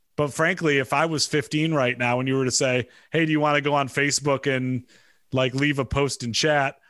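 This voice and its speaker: A man's fairly high, monotone, flat voice at a fairly quick pace, with very even loudness in a very clean recording with a silent background. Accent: Midwestern US. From Michigan. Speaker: media executive. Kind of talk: casual interview.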